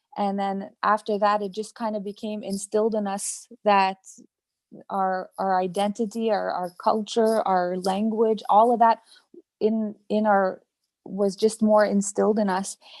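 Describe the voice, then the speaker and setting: With monotone, flat intonation, a woman talks fairly slowly at a medium pitch. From Quebec, Algonquin reserve community. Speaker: Algonquin language teacher. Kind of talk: webinar panel discussion. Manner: hesitant, many fillers.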